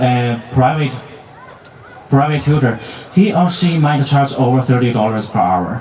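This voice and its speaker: A man with a non-native accent at a fairly slow pace, ordinary pitch variation, audible room echo and noticeable background noise. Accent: foreign. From outside the US, international student. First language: not English. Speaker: student speaker, graduate. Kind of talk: commencement speech. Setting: stage with audience at graduation ceremony. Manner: halting, with self-corrections.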